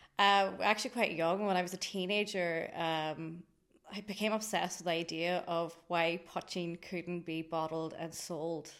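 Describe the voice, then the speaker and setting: A woman with a Donegal accent speaks at a fairly low pitch with fairly even intonation. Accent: Donegal Irish. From Ireland, County Donegal. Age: 30s. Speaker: drinks company founder. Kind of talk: interview conversation.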